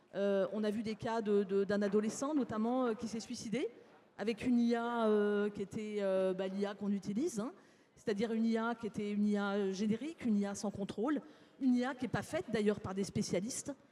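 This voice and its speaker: Fairly quick in pace, a woman speaks in an ordinary speaking voice. Her pitch is medium and her intonation fairly even. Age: 60s. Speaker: psychologist, conference speaker. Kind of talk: conference talk. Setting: stage with live audience.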